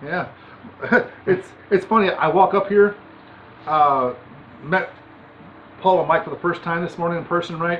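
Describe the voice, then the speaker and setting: The speech comes at a moderate pace with light background noise. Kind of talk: casual chat. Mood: relaxed, amused. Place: garage. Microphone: camera far.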